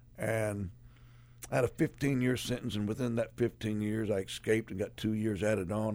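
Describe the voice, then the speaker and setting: A man speaks at a fairly quick pace with fairly low pitch and fairly even intonation. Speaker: ex-convict sharing testimony. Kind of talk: testimony. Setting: studio.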